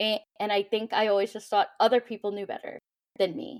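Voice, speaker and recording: A very fast voice with a Midwestern American accent, dry, close sound with no echo. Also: woman. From US Midwest. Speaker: social media creator, mental health advocate. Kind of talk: podcast interview answer.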